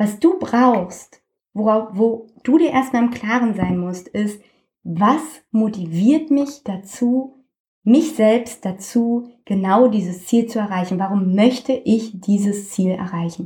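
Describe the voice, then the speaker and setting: A woman's fairly high, somewhat breathy voice with a dark, mellow tone, ordinary pitch variation and a very slow pace. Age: 20s. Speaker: health coach. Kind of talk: interview.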